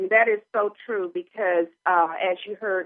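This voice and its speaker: Using an ordinary speaking voice, a woman talks at a fairly slow pace and a medium pitch. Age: 60s. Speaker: radio talk show host. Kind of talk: call-in radio show.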